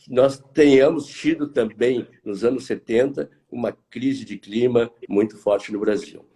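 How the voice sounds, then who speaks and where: Pitch moves in an ordinary way across a dark, mellow tone. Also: man. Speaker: market analyst, consultancy director. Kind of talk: live stream interview. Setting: online live stream. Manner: hesitant, repeats words.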